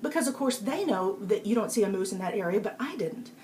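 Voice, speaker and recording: Speaking rather quickly, a woman lets her pitch vary in a normal way. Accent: Texas. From Texas. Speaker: public speaking coach and author. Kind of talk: live-stream talk giving tips. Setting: live video broadcast on iPad. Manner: casual, with frequent fillers.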